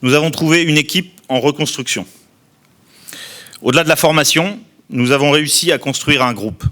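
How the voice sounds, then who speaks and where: Pitched fairly high with a bright, sharp tone, a man speaks at a moderate pace with ordinary pitch variation and long, frequent pauses. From southern France, Tarn-et-Garonne. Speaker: outgoing club president. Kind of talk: formal speech. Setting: press conference. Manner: formal.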